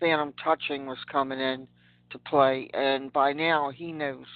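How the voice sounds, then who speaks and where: A woman's very deep, low pitch, with a monotone, flat intonation at a moderate pace. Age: 60s. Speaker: caller. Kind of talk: call-in question.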